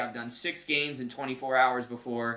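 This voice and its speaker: Speaking in an American accent, a man uses a bright, sharp, animated tone at medium pitch. His pace is fairly quick. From New Jersey. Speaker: play-by-play commentator and podcast host. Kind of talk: casual interview chat.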